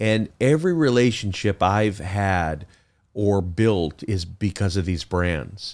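In an American accent, a man speaks very slowly with a fairly low pitch and ordinary pitch variation. The recording is very clean, with a silent background. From Chicago. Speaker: business founder. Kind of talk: casual interview.

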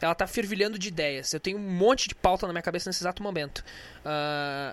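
Fairly quick in pace, a man speaks at a high pitch. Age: 20s. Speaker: podcast host. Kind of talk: casual solo monologue with music. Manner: animated.

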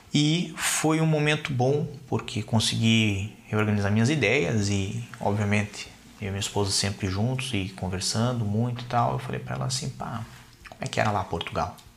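A man's fairly low voice at a moderate pace, with very wide pitch swings over noticeable background noise. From Brazil, Curitiba. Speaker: lawyer. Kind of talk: interview.

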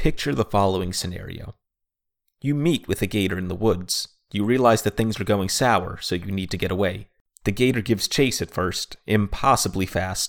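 A man with an American accent has an ordinary speaking voice, fairly low in pitch. The sound is dry and close with no echo, on a very clean recording with a silent background. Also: ordinary pitch variation, moderate pace. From Florida, US (Orlando). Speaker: storyteller, wildlife handler. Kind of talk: scripted comedic narration.

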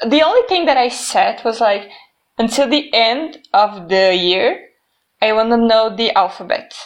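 Lively in intonation, a woman with a Brazilian accent speaks at a fairly slow pace with a fairly high pitch. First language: Portuguese. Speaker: podcast co-host. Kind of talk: casual chat.

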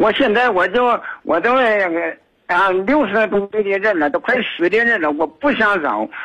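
The voice is raised and projected, with a bright, sharp tone and very even loudness. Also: man, high pitch for a man, ordinary pitch variation, moderate pace. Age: 60s. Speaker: retired caller to a radio advice show. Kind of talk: phone-in advice call. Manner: halting, many fillers.

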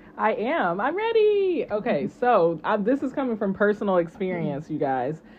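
A woman with an American accent, medium in pitch with very wide pitch swings, at a moderate pace with hardly any pauses, against noticeable background noise. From Texas. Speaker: co-host and esthetician. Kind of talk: casual chat. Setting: in person studio.

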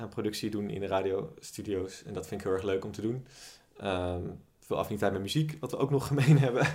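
A man's unremarkable speaking voice, fairly low in pitch, at a fairly quick pace. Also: ordinary pitch variation. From Netherlands, Amsterdam. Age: 20s. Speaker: podcast co-host. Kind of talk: casual chat.

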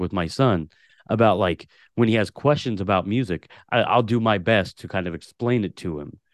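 Against a quiet background, a man talks with a West Coast accent. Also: dry, close sound with no echo. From Portland, Oregon. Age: 30s. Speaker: podcast host. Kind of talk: casual interview chat.

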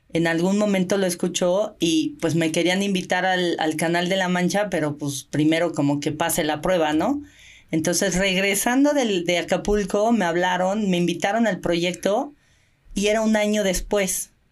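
In an ordinary speaking voice, a woman talks at a moderate pace and fairly low pitch, with ordinary pitch variation and very even loudness, on a very clean recording with a silent background. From Mexico. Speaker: Olympic swimmer and open-water coach. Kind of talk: casual interview.

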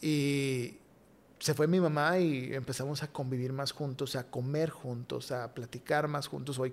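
On a very clean recording with a silent background, a man with a normal speaking voice talks fairly slowly at a fairly high pitch with fairly even intonation. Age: 30s. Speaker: podcast guest. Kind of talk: testimony.

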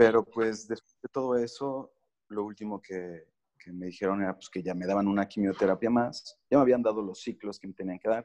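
A man speaks at a moderate pace and a fairly low pitch, with a dark, mellow tone and ordinary pitch variation. His loudness swings widely, and the sound is dry and close with no echo. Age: 30s. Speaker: cancer survivor sharing his recovery story. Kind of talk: podcast interview.

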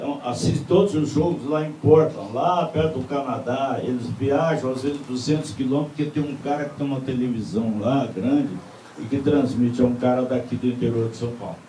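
A man with a medium-pitched voice speaks at a moderate pace with ordinary pitch variation, with audible room echo and noticeable background noise. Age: old. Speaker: TV presenter. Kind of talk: casual chat.

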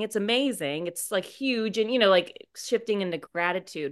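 A woman's medium-pitched voice has lively intonation and a moderate tempo. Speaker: podcast host. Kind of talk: casual banter. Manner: animated.

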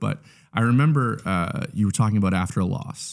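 Here is a plain, everyday voice with lively intonation at a moderate pace. The recording is very clean, with a silent background. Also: man. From Canada. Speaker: church communications specialist. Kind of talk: casual interview.

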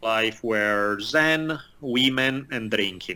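A man's medium-pitched voice, bright and sharp in tone, with ordinary pitch variation. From Italy. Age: 40s. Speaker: martial artist, writer and history professor. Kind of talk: casual interview conversation. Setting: remote call interview.

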